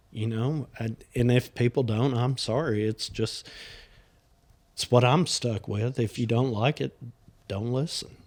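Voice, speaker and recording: At a fairly slow pace with long, frequent pauses, a man in a Southern US accent speaks at medium pitch with fairly even intonation. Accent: Southern drawl. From US South. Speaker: podcast host. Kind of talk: casual chat.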